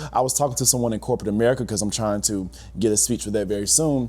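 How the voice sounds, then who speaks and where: Very fast and fairly low-pitched, a man speaks with vocal fry and a dark, mellow tone. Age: 30s. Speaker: teacher and podcast host. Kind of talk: casual reaction commentary. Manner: animated.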